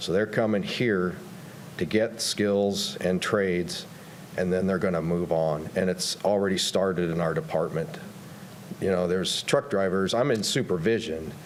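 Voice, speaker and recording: Amid noticeable background noise and audible room echo, a man with a very deep, low pitch and ordinary pitch variation talks at a moderate pace with very even loudness. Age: 60s. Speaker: county road maintenance supervisor giving public comment. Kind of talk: public comment at council meeting.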